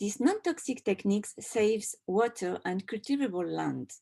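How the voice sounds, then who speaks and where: With a French accent, a woman speaks in a fairly high pitch with lively intonation. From France. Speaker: textile designer and doctoral researcher. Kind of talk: conference presentation.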